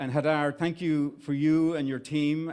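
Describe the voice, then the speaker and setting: Speaking at a moderate pace with an Irish accent, a man keeps a monotone, flat intonation on a very clean recording with a silent background. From Ireland. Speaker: startup investment executive. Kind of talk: event speech. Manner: halting.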